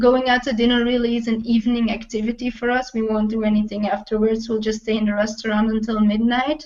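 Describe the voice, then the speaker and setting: A woman with a Flemish accent, very fast and with hardly any pauses, her fairly high pitch held in a flat monotone. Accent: Belgian Dutch (Flemish) accent in English. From Belgium (Dutch-speaking). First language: Dutch. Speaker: travel blogger. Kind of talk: interview.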